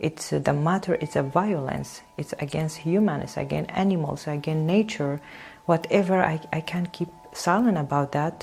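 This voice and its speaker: Over noticeable background noise, a woman with a Kurdish accent and a very deep, low pitch talks at a moderate pace with ordinary pitch variation. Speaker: painter and singer. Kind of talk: interview. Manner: halting, many hesitations.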